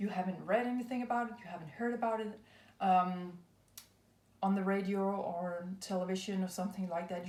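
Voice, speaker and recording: A woman with a non-native accent and medium pitch talks at a fairly quick pace with fairly even intonation. Noticeable background noise and audible room echo are present. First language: not English. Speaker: tarot and astrology reader. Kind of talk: spiritual card reading. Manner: hesitant, many fillers.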